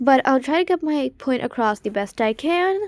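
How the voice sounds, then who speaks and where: A woman is speaking. The sound is dry and close with no echo, on a very clean recording with a silent background. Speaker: video creator. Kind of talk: unscripted explainer monologue. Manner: halting, with pauses and stumbles.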